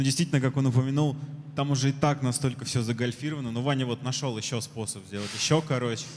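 A man at medium pitch, fairly even intonation, and a very fast pace. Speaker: conference organizer, moderator; moderator. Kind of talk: event moderation. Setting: stage with audience. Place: hall. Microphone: handheld.

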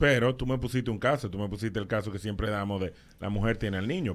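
With a fairly low pitch and ordinary pitch variation, a man talks very fast. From Dominican Republic. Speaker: radio host. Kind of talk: radio interview. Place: studio. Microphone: studio mic.

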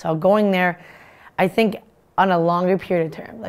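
This woman's fairly low voice stays monotone and flat as she talks at a moderate pace. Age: 20s. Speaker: hockey player and student athlete. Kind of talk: interview. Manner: halting. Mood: warm, upbeat. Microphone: lapel.

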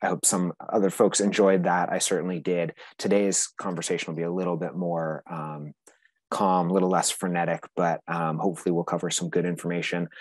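Very deep, low male voice, monotone and flat, at a fairly quick pace, dry with no echo against a quiet background. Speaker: conference presenter, nonprofit executive director; conference presenter. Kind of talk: conference presentation. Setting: video call. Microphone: video call.

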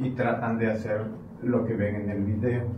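A man at medium pitch and a fairly slow pace, with noticeable background noise. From Mexico, Chiapas. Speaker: chiropractor and instructor. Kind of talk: tutorial narration during a therapy session. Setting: treatment room, on camera.

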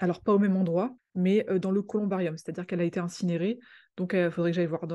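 Very fast and flat in intonation, a woman talks in a dark, mellow tone. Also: quiet background. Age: 30s. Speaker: art history youtuber. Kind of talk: informal video talk. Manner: hesitant, many fillers.

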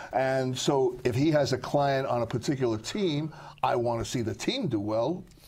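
A man speaks with an American accent, somewhat breathy. His pace is moderate and his pitch variation ordinary. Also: medium pitch for a man. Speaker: sportswriter. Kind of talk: casual chat.

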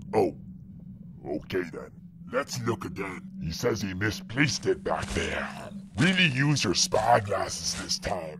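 Clear background noise sits behind a man doing a cartoonish character voice. He goes at a fairly slow pace with long, frequent pauses. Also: medium pitch for a man. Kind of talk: comic pirate voice. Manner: gruff then easygoing.

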